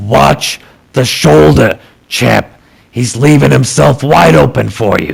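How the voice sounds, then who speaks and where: In a put-on character voice, a man sounds gruff, gravelly, husky and raspy at a fairly low pitch, with very wide pitch swings. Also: fairly slow pace. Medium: read story. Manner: gravelly and blunt.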